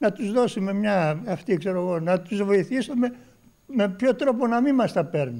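Over a quiet background, a man talks at a fairly slow pace with a high pitch, a dark, mellow tone and lively intonation. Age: 70s. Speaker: pensioner and olive farmer; interviewee. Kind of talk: street interview. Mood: frustrated, resigned complaint. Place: cafe. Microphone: handheld.

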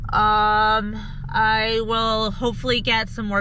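A woman's voice, dry with no echo, over light background noise. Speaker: paranormal vlogger. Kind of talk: casual vlog chat. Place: car. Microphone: phone near.

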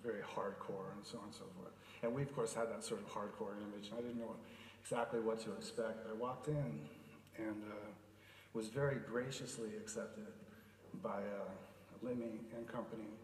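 With audible room echo and light background noise, a man speaks with fairly even intonation. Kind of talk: eulogy speech. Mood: emotional, hesitant, fond. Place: hall. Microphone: podium.

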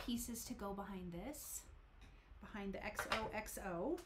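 Over loud background noise, a woman speaks at a medium pitch with ordinary pitch variation. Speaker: card making channel host. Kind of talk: live stream crafting tutorial. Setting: home room, live stream. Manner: animated.

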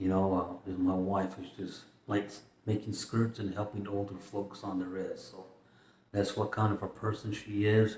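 Over light background noise with audible room echo, a man speaks at a fairly slow pace. His somewhat breathy voice sits fairly low, with monotone, flat intonation. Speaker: vlogger. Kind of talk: casual vlog chat. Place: home room. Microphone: phone near.

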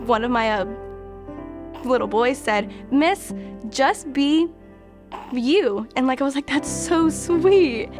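A woman's high pitch with lively intonation at a very slow pace, long and frequent pauses, and music in the background. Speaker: student teacher. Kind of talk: interview answer.

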